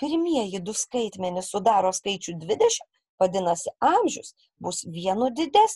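A woman with a somewhat breathy, dark and mellow tone talks at a fairly slow pace and medium pitch, her intonation lively, in a dry, close recording with no echo. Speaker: primary school teacher. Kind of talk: recorded lesson for children. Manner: slow and clear, instructive.

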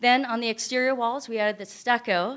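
Over a quiet background, a woman with an American accent and a fairly high pitch speaks at a moderate pace. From US West Coast (Northern California). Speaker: nonprofit ministry founder and singer; presenter. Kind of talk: presentation to audience. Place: hall. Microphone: podium.

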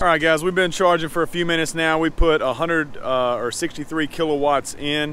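A fairly high-pitched man at a moderate pace amid noticeable background noise. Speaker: car reviewer. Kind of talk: product review video. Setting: in a car on a road trip. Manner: casual, conversational.

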